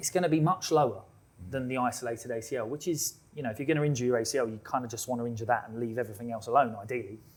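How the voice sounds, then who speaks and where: A man with a British accent, very fast, medium in pitch, with ordinary pitch variation. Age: 30s. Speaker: physiotherapist. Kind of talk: live podcast discussion. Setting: live recording with audience.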